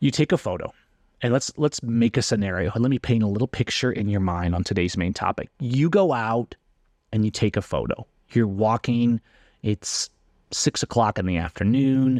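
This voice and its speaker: A man's unremarkable speaking voice at a medium pitch and moderate pace, with ordinary pitch variation, in a dry, close sound with no echo and a quiet background. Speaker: photography podcast host. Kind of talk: casual solo podcast talk.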